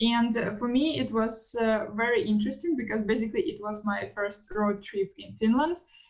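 A woman with a fairly high pitch over noticeable background noise. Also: ordinary pitch variation, moderate pace. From Russia. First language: Russian. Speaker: international student. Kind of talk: podcast interview.

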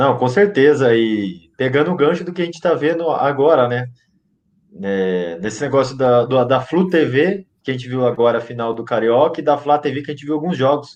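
A man with a plain, everyday voice talks at medium pitch. He keeps a moderate pace with lively intonation. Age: 20s. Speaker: football fan podcast contributor. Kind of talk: casual chat.

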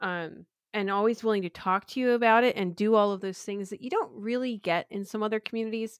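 A woman at a very fast pace with an American accent, fairly even intonation, and a dry, close sound with no echo. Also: fairly high pitch for a woman. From US Northeast, Philadelphia. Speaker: developer advocate. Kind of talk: casual chat.

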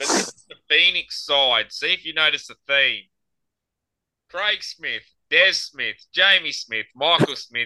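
A man with an Australian accent and a bright, sharp tone, at a fairly slow pace with ordinary pitch variation, in a dry, close sound with no echo. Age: 40s. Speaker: podcast host and amateur cricketer. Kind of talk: casual chat.

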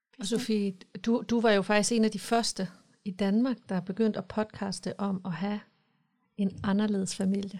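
Somewhat breathy, a woman speaks at a moderate pace in a medium pitch with monotone, flat intonation. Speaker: podcast host. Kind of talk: casual chat. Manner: emotional, gets worked up.

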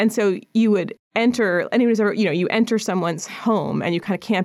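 A woman uses a normal speaking voice, at a medium pitch, with ordinary pitch variation and a fairly quick pace. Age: 40s. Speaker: painter. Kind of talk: casual interview. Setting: studio.

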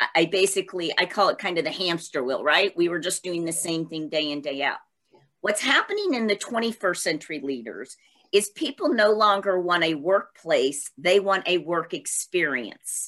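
A normal speaking voice from a woman, fairly low in pitch with lively intonation. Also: moderate pace. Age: 50s. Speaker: entrepreneur and speaker on change. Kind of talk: interview.

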